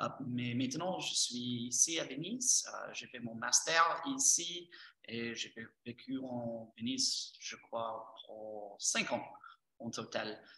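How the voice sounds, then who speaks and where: A man with an English accent, at a very slow pace, with big swings in loudness. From Texas, US. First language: English (speaking French). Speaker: English teacher and course trainer. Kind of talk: presentation. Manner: halting.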